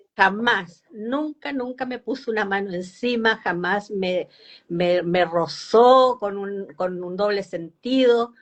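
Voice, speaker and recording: A woman's medium-pitched voice, very slow, with ordinary pitch variation and big swings in loudness. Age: 70s. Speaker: foundation representative on older adults. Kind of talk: live interview. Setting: Instagram live video call.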